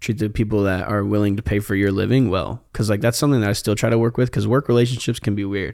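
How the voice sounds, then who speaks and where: A man with an American accent talks at a very fast pace with fairly even intonation. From Indiana, US Midwest. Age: 20s. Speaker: photographer. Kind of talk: casual chat. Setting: studio.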